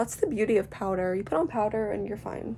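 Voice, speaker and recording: Here a woman is talking. Her pace is moderate. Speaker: beauty vlogger. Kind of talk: casual chat while doing makeup. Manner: loud; chatty, rambling filler words.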